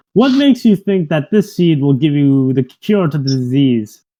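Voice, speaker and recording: A man puts on a character voice with a fairly high pitch. He hisses and keeps a moderate pace. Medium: actual play. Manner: cackling, hissing, sly.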